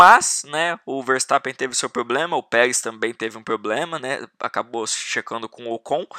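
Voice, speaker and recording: A man with a medium-pitched, bright and sharp voice talks at a fairly slow pace with ordinary pitch variation, recorded dry and close with no echo. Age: 20s. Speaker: podcast host, motorsport fan. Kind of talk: casual solo commentary.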